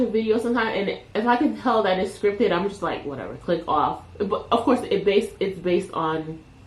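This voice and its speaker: A woman with a Caribbean accent talks at a medium pitch with ordinary pitch variation and hardly any pauses. Noticeable background noise and audible room echo fill the recording. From Caribbean, Jamaican and Panamanian heritage. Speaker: YouTuber. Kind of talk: casual unscripted talk to camera. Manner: relaxed, unedited, with filler words.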